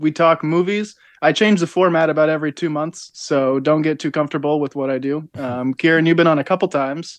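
A man with an unremarkable speaking voice talks at a fairly quick pace in a fairly high pitch, with hardly any pauses and fairly even intonation. The background is quiet and the sound is dry and close with no echo. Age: 20s. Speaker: podcaster guest. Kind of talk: casual chat.

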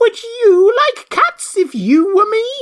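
A put-on character voice, shrill and extremely high in pitch, speaks at a fairly slow pace. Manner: passionate, indignant.

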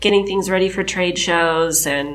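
At a medium pitch, a woman talks fairly quickly, and audible room echo surrounds her voice. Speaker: creative director. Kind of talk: casual interview. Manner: halting.

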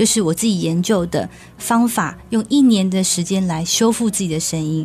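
Noticeable noise sits behind a woman whose voice falls in the middle of her range. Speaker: vocal coach. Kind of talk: casual chat. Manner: animated.

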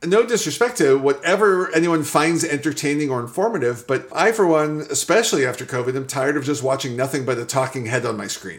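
Over noticeable background noise, a man with a fairly high pitch speaks at a very fast pace with hardly any pauses. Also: lively intonation. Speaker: startup founder. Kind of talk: interview.

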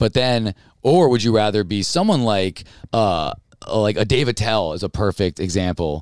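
A man with an American accent has a normal speaking voice, fairly low in pitch, with lively intonation at a moderate pace. The recording is dry and close with no echo. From upstate New York (Albany). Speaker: stand-up comedian. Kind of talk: casual chat.

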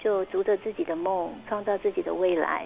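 A woman talks at a moderate pace. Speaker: children's author. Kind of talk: interview.

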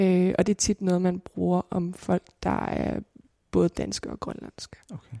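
The sound is dry and close, with no echo. A woman speaks at a fairly slow pace. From Greenland, Nuuk. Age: 20s. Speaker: filmmaker and student. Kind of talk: interview conversation.

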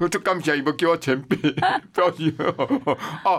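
Lively and fairly quick, a man's fairly high-pitched voice carries vocal fry. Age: 70s. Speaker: TV producer and tour guide. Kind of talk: casual interview chat. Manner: animated.

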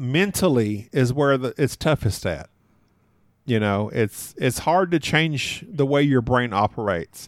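At a fairly slow pace, a man with an American accent and an unremarkable speaking voice talks at a medium pitch with lively intonation, on a very clean recording with a silent background. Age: 40s. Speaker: board game podcaster. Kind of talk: casual interview.

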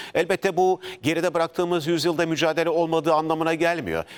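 His delivery is very fast. The man's voice sits fairly high. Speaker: TV news anchor. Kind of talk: live TV news interview.

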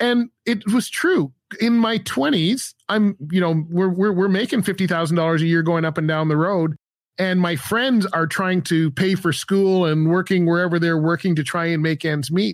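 A man speaks at a high pitch and moderate pace, with ordinary pitch variation and very even loudness. The recording is very clean, the background silent. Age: 50s. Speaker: podcast host and former truck driver. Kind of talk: casual interview.

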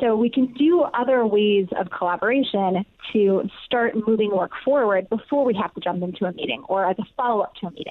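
In an ordinary speaking voice, a woman with a fairly high pitch and ordinary pitch variation talks at a fairly quick pace with hardly any pauses. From US Midwest, Ohio. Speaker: company CEO and author. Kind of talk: interview.

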